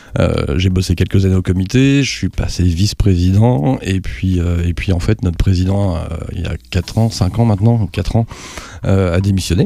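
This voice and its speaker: A man at a very deep, low pitch, with ordinary pitch variation and a moderate pace, over noticeable background noise. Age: 50s. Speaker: aeroclub president and private pilot. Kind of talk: podcast interview.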